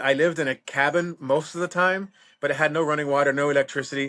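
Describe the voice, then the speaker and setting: A man speaks at a fairly quick pace with fairly even intonation, his pitch fairly high. He has a plain, everyday voice against a quiet background. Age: 50s. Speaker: reptile breeder and former park ranger. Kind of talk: casual interview chat.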